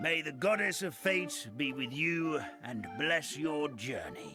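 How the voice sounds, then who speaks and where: A cartoonish character voice is heard with clear music in the background. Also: man. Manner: formal, courteous.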